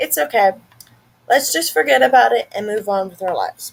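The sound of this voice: This put-on character voice is raspy, moves at a fairly quick pace, and has very wide pitch swings. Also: woman, medium pitch for a woman.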